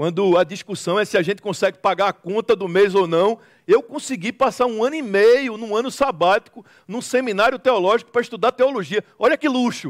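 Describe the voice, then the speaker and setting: Recorded very cleanly against a silent background, with a dry, close sound and no echo, a man speaks at a fairly quick pace in a high pitch. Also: ordinary pitch variation. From Recife, northeastern Brazil. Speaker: preacher. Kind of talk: sermon.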